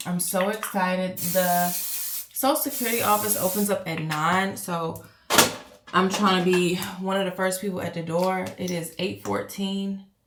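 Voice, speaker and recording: Audible room echo and noticeable background noise accompany a woman speaking at a fairly slow pace. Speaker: lifestyle vlogger. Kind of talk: casual vlog talk to camera. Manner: animated.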